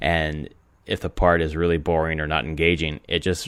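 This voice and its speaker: A man's very deep, low voice with vocal fry, on a very clean recording with a silent background. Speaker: gaming podcast host. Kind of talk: casual podcast monologue. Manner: many filler words.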